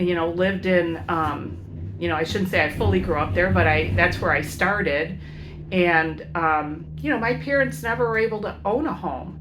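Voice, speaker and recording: Moderate pace, noticeable background noise and audible room echo. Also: woman. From US Midwest, Chicago inner city. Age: 60s. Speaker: educator and van-life vlogger. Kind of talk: casual vlog monologue. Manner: halting, many fillers.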